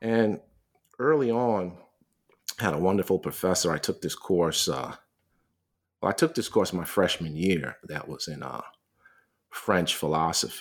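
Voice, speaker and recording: Speaking with an American accent and lively intonation, a man with a very deep, low pitch leaves long, frequent pauses on a very clean recording with a silent background. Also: moderate pace. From New York City (Queens, Manhattan). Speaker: philosophy professor, author. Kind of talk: interview about his book. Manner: many repetitions and fillers.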